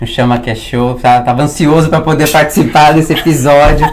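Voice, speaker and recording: Fairly quick and with fairly even intonation, a man's voice comes through audible room echo and noticeable background noise. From Brazil. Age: 30s. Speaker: business broker and consultant. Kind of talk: interview conversation. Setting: recording in Orlando, Florida.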